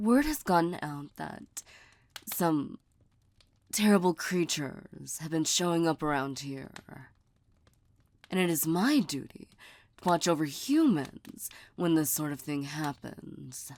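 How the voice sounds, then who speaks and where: A woman uses a put-on character voice with very deep, low pitch, speaking at a fairly slow pace with long, frequent pauses on a very clean recording with a silent background. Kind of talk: ASMR roleplay. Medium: solo performance. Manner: soft, teasing, intimate.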